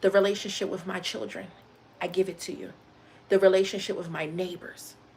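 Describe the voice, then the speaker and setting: A normal speaking voice at a fairly quick pace, with fairly even intonation and big swings in loudness. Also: woman, medium pitch for a woman. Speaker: live streamer. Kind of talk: motivational talk on a livestream.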